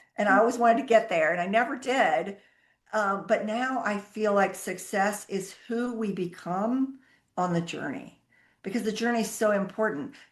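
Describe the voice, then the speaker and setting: A woman's fairly high voice at a moderate pace, with ordinary pitch variation, an ordinary speaking voice, over a quiet background. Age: 60s. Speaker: accounting firm founder. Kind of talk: interview.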